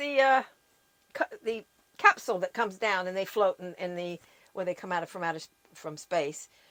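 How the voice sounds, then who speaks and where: A woman's bright, sharp voice at medium pitch with an American accent, with lively intonation, a fairly quick pace, long and frequent pauses, big swings in loudness, and a dry, close sound with no echo. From US, California (Long Beach). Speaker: podcast guest. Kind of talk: casual chat. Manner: halting.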